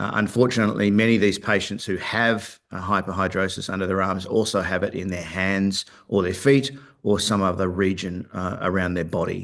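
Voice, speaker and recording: Talking at a fairly quick pace, a man with an Australian accent uses a fairly low pitch. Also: fairly even intonation. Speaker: company founder and executive. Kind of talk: investor presentation. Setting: virtual webcast. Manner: hesitant, many filler words.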